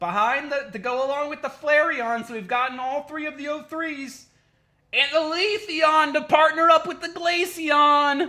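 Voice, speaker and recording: This voice is loud and moves at a moderate pace. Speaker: card-opening livestreamer. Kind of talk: livestream unboxing. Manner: animated.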